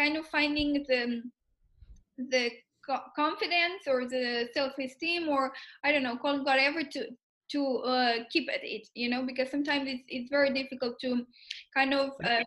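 A high-pitched woman speaks at a moderate pace with fairly even intonation and long, frequent pauses on a very clean recording with a silent background. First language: Spanish. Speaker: podcast host, product owner. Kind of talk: casual interview. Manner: halting.

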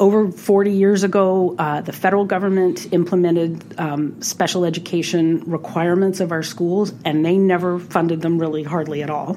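A woman with an American accent talks at a moderate pace in a fairly low pitch. Her intonation stays fairly even, and there is noticeable background noise. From US South, New Orleans. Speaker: state senator. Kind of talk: interview.

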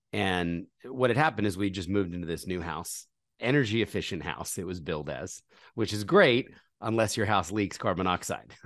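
A man with an American accent has a plain, everyday voice at a fairly low pitch with ordinary pitch variation. He speaks at a moderate pace against a quiet background. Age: 40s. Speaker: charity founder. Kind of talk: interview.

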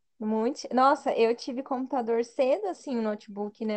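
A woman with an unremarkable speaking voice, at a fairly slow pace with ordinary pitch variation, against a quiet background. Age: 20s. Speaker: podcast co-host. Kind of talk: casual chat.

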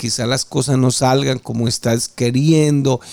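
A man's medium-pitched, ordinary speaking voice at a fairly slow pace, with fairly even intonation. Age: 50s. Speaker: preacher. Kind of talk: sermon.

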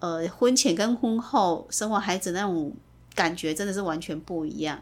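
A woman speaks at medium pitch with ordinary pitch variation. The recording is very clean, with a silent background. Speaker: mother of the host. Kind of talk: casual family interview. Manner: careful, deliberate retroflex enunciation.

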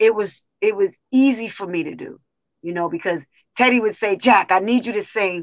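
A woman speaks at a medium pitch with ordinary variation in her pitch. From US South. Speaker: singer. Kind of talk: casual interview. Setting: video call.

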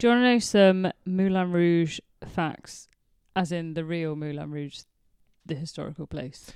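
At a fairly slow pace, a woman with a fairly low pitch and an unremarkable speaking voice talks with ordinary pitch variation and big swings in loudness. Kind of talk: casual chat. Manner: playful, laughs often.

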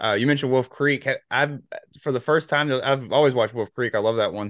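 A man with an American accent talks very fast. His intonation stays fairly even. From North Carolina. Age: 30s. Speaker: podcast host. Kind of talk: casual chat.

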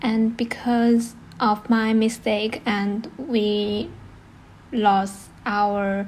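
Somewhat breathy and fairly high-pitched, a woman with a Chinese accent speaks in a monotone, flat intonation. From China. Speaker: podcast host. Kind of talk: casual conversation.

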